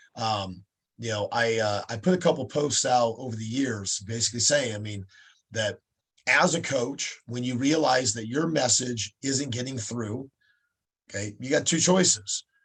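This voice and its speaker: A man speaks at a medium pitch with ordinary variation in it. His voice is somewhat breathy. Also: moderate pace. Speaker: fight promoter and coach. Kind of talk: casual interview. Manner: halting, many fillers.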